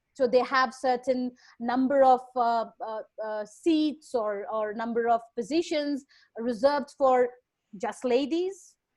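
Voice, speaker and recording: A woman with a Bengali accent talks at a very slow pace. Her pitch is high, with ordinary variation. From India, Bengal. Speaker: lecturer. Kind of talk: Q&A session. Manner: halting.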